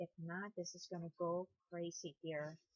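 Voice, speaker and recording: Very slow, mumbled speech. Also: woman. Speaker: crochet tutorial creator. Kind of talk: tutorial. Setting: sitting on bed at home. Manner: mumbling.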